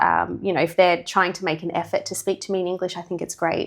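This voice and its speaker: A woman with an Australian accent speaks at a fairly quick pace in a fairly low pitch, with vocal fry. The recording is very clean, with a silent background. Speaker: English teacher. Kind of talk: podcast interview.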